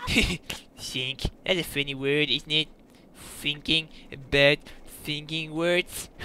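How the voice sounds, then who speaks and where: The put-on character voice moves at a very slow pace, broken by long, frequent pauses, with monotone, flat intonation. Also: man, fairly high pitch for a man. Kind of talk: comic overacting. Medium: machinima. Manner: goofy, rambling, easily distracted; whiny, exasperated pleading.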